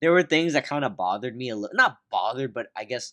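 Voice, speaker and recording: Bright and sharp in tone, a man's medium-pitched voice moves at a moderate pace with lively intonation. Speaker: podcast host, movie reviewer. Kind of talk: casual chat, movie review podcast. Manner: casual, conversational, chatty.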